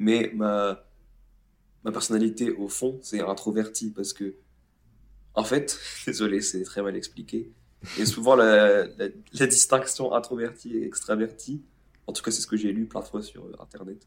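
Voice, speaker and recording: A man at a medium pitch talks at a fairly slow pace, with fairly even intonation and long, frequent pauses. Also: big swings in loudness. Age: 20s. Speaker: podcast co-host friend. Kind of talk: casual chat.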